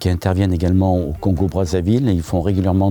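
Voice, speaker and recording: A man's very deep, low voice with noticeable background noise. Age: 60s. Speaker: volunteer electrician. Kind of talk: interview. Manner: hesitant, frequent filler sounds.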